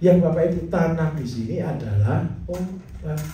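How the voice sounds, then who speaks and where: Against noticeable background noise and audible room echo, a man talks at a moderate pace with lively intonation. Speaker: farming teacher. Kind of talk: lecture. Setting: class with audience. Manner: animated.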